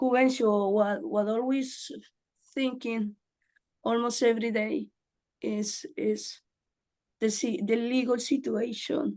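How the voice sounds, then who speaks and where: Using a Spanish accent, a woman speaks in a fairly high voice with ordinary pitch variation, at a very slow pace broken by long, frequent pauses. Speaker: community advocate. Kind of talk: meeting discussion.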